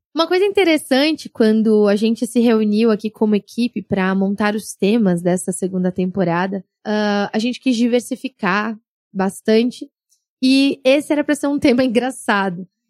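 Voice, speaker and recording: A woman's normal speaking voice, fairly high in pitch, at a moderate pace, with a dry, close sound and no echo. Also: ordinary pitch variation, very clean recording, silent background. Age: 30s. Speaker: podcast host. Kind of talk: personal monologue podcast.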